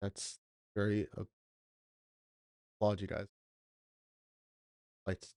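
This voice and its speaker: A soft-spoken man at a fairly slow pace, with long, frequent pauses and a dry, close sound with no echo. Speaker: livestream reaction host. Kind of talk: casual livestream chat. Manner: quiet, soft-spoken.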